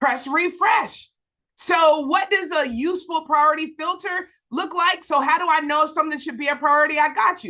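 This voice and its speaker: A woman's extremely high, bright and sharp voice, raised and projected, animated in tone, at a moderate pace with ordinary pitch variation. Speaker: preacher and Bible teacher. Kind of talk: live Bible study teaching. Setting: livestream.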